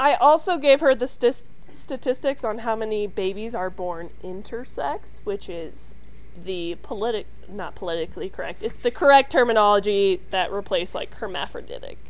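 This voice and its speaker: A woman's fairly high voice with vocal fry, lively intonation, big swings in loudness and a moderate pace. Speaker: podcast co-host. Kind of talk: casual comedic chat. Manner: jokey, playful.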